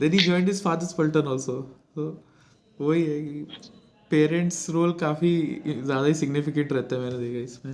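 At a fairly high pitch, a man speaks with long, frequent pauses. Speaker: podcast host, former defence cadet. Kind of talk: casual interview chat. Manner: animated, laughing often.

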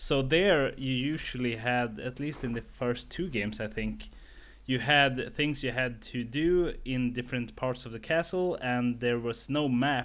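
A man's ordinary speaking voice, medium in pitch with ordinary variation, at a fairly slow pace. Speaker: podcast host. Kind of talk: casual podcast interview.

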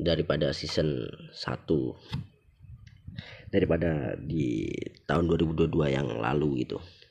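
A man talks at a very slow pace with very deep, low pitch and vocal fry. His pitch varies in an ordinary way, and he takes long, frequent pauses. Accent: Javanese. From Java. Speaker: podcast host. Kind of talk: casual solo monologue. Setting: recorded late at night.

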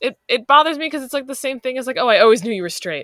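A woman with an American accent, a bright, sharp tone and lively intonation, in a dry, close sound with no echo. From Long Island, New York. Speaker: teacher. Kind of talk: casual chat.

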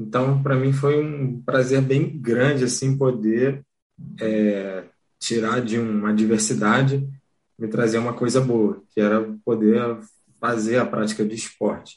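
A man talks at medium pitch with a normal speaking voice. His pace is fairly slow, and his pitch variation ordinary. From Rio de Janeiro, Brazil. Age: young. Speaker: wheelchair rugby athlete. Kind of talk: casual interview. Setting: home office.

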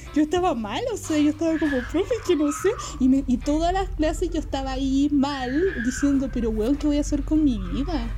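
Over noticeable background noise, a high-pitched woman with a Chilean accent speaks at a moderate pace with ordinary pitch variation. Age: 20s. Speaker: film student. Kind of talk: casual chat.

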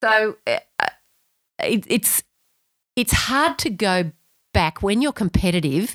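In a very clean recording with a silent background and a dry, close sound free of echo, a woman with an Australian accent speaks very slowly at a fairly high pitch, with very wide pitch swings and long, frequent pauses. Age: 50s. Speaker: amateur runner. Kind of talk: casual chat.

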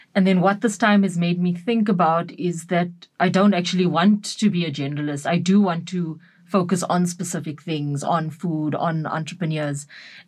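A woman speaks at a moderate pace with a fairly low pitch. Her voice is somewhat breathy, with fairly even intonation. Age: 30s. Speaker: photographer. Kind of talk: interview. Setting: studio.

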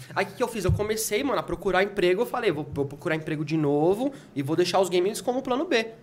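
Someone talks at a very fast pace with lively intonation while noticeable background noise plays. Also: man, high pitch for a man. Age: 30s. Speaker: game collector and reseller. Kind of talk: casual chat.

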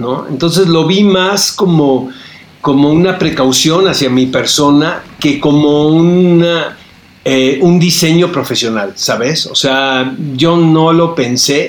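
Speaking at a very slow pace, a man with a fairly high pitch is heard amid audible room echo and noticeable background noise. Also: ordinary pitch variation. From Tijuana, northern Mexico border. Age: 50s. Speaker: film critic and TV interviewer. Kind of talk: casual interview chat.

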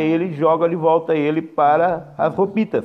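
This man speaks in a high pitch. His intonation stays fairly even. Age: 40s. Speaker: philosophy teacher. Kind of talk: recorded lesson. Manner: casual, with fillers.

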